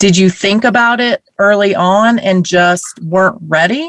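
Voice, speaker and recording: A woman with an ordinary speaking voice, medium pitch and lively intonation, at a fairly slow pace, in a dry, close sound with no echo. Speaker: podcast host. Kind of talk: interview. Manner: warm, upbeat.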